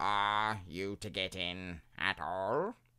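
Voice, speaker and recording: A man's put-on character voice, very deep and low, on a very clean recording with a silent background. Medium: read story. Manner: placid, unhurried.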